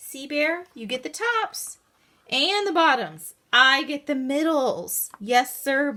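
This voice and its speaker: Using a put-on character voice, a woman pitches her speech high. Her delivery is fairly slow. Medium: read story. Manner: cheerful, wheedling.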